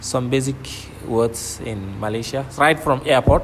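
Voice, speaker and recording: There is noticeable background noise. The speaker moves at a moderate pace with ordinary pitch variation. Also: man. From northern Nigeria. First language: Kanuri. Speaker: PhD student. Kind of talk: interview. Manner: repetitive, conversational.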